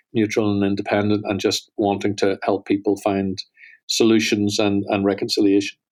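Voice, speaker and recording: A man with a Northern Irish accent, fairly low in pitch, at a fairly quick pace in a monotone, flat intonation, on a very clean recording with a silent background. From Northern Ireland. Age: 50s. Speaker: holocaust studies center director. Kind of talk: podcast interview.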